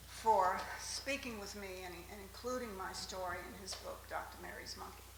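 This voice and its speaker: A woman at a moderate pace with big swings in loudness, plus audible room echo and noticeable background noise. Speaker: eyewitness, former neighbor. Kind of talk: conference presentation. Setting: stage with audience. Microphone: handheld mic, quiet.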